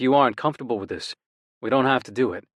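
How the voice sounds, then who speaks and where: Using a put-on character voice, a man growls at a very fast pace with big swings in loudness and a medium pitch. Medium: read story. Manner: gentle.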